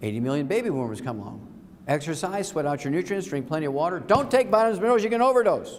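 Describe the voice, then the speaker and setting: Talking very fast with an animated tone, a man with a high voice swings his pitch very widely, and audible room echo surrounds him. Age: 70s. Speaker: health lecturer promoting supplements. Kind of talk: sales lecture.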